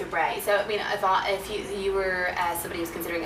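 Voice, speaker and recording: Noticeable background noise runs beneath a woman who speaks very fast. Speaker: radio presenter / interviewer. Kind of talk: radio interview, interviewer questions. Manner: friendly, upbeat, conversational.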